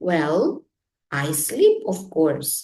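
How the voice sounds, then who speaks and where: A woman uses a put-on character voice with a fairly low pitch. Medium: read story. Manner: gentle, friendly.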